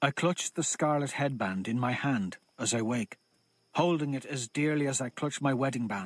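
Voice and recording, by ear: A passage is read aloud in a natural manner. Pitch varies in an ordinary way over a quiet background.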